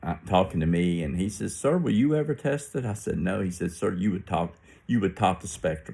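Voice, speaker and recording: A man with an American accent talks at a fairly quick pace in a very deep, low pitch and a dark, mellow tone, with lively intonation, on a very clean recording with a silent background. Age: 60s. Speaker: religious vlogger. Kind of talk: casual monologue. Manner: halting.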